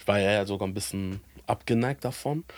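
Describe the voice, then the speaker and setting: This is a man's voice. His pitch sits fairly low. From Hamburg, northern Germany. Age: 30s. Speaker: pastor. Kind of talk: casual chat. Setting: video call.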